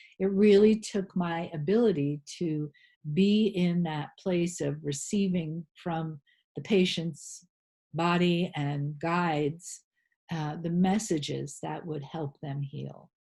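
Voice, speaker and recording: With an American accent, a woman speaks at a fairly low pitch in a dark, mellow, somewhat breathy tone. Her pace is very slow, her pitch variation ordinary, and the background quiet. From rural New England, USA. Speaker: holistic health practitioner and spiritual teacher. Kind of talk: interview answer.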